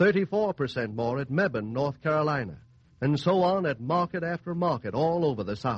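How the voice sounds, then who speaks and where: The speaker is a man with an unremarkable speaking voice and a fairly high pitch. He moves at a moderate pace with lively intonation. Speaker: radio announcer. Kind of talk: commercial announcement. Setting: radio studio.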